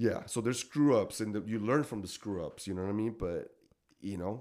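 A man speaks in a Mexican accent with a dark, mellow tone at a moderate pace. The recording is very clean, with a silent background. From Mexico, Tijuana. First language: Spanish. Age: 40s. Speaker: gigging musician. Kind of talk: casual chat. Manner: halting.

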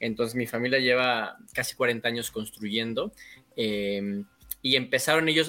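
A man's bright, sharp tone at medium pitch, fairly slow pace and fairly even intonation. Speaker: builder. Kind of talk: casual chat.

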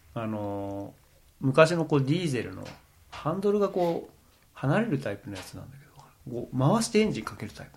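A somewhat breathy man talks at a fairly high pitch and a fairly quick pace. His pitch swings very widely and his loudness rises and falls sharply. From Japan, Akita. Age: middle-aged. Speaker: organic farmer and podcaster. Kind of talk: casual chat.

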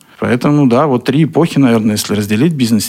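Ordinary pitch variation from a man, heard through noticeable background noise. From Russia, Kaliningrad. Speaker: business owner. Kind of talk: radio interview. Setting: studio.

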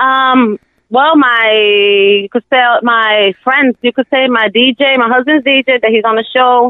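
A high-pitched woman's voice in a New York accent, very slow, with fairly even intonation and very even loudness. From US Northeast, Brooklyn, New York. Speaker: home cook and small food business owner. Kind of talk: casual interview. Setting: phone call. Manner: shy.

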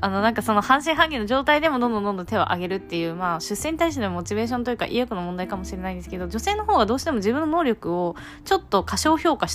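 Very fast speech from a woman, noticeable background noise behind her. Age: 20s. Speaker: podcast host. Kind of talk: casual monologue.

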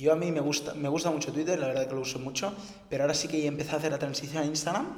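Over noticeable background noise and audible room echo, a man with a fairly high pitch talks at a very fast pace in a monotone, flat intonation. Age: 20s. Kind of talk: casual interview. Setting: rented office.

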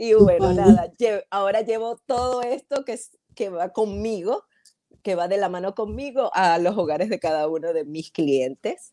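A woman with a Maracaibo Venezuelan accent speaks in a dark, mellow tone with lively intonation. The sound is dry and close, with no echo. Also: medium pitch for a woman, moderate pace. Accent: Maracaibo (maracucho) Venezuelan. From Venezuela, Maracaibo (Zulia). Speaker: hair stylist, entrepreneur. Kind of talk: casual interview.

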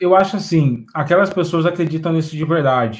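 The voice belongs to a man. It has a somewhat breathy quality. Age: 30s. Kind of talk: casual discussion.

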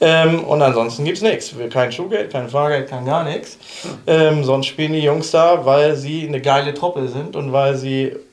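Recorded with audible room echo and noticeable background noise, a man with a fairly high pitch talks at a fairly slow pace with fairly even intonation and hardly any pauses. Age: 40s. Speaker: football coach. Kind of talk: casual chat.

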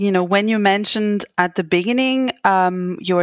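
A woman speaks with a French accent at medium pitch and ordinary pitch variation. The sound is dry and close with no echo, on a very clean recording with a silent background. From France. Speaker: podcast host and postpartum doula. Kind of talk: interview.

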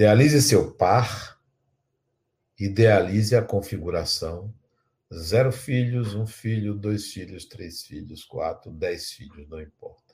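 A man's fairly low, somewhat breathy voice at a very slow pace, with big swings in loudness and ordinary pitch variation, on a very clean recording with a silent background. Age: 60s. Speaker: spiritual teacher. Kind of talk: lecture with guided imagination exercise.

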